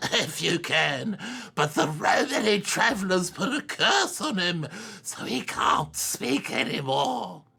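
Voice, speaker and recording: A man puts on a character voice, pitched high. He talks at a fairly slow pace. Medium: video game. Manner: gruff, curt, scoffing.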